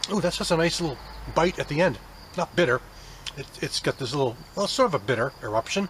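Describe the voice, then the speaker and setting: A fairly high-pitched man at a very fast pace, with very wide pitch swings and long, frequent pauses. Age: 50s. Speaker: beer reviewer. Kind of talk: casual product review. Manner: relaxed, hesitant with many fillers.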